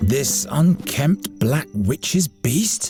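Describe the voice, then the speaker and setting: A put-on character voice at low-to-middle pitch swings very widely over faint music in the background. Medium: machinima.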